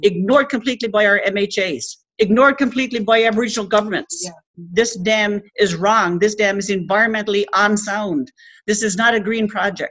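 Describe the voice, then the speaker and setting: With a Labrador accent, a woman talks at a fairly quick pace. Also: quiet background. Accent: Labrador Canadian English. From Rigolet, Labrador, Canada. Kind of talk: speech to an audience. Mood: earnest, indignant. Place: meeting room. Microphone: webcam.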